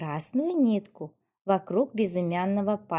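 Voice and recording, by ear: The voice is reading aloud in a natural voice with lively intonation. The background is quiet.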